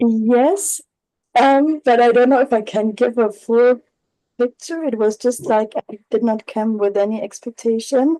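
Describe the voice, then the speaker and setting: A woman with a non-native accent speaks fairly slowly at a high pitch with ordinary variation and a dark, mellow tone. The sound is dry and close, with no echo. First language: not English. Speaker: workshop participant. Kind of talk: group discussion. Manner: halting.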